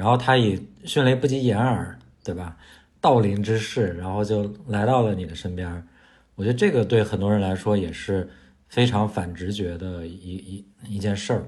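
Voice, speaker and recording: The man's voice is somewhat breathy. His pitch varies in an ordinary way. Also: fairly low pitch for a man, moderate pace. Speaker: podcast co-host. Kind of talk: casual chat.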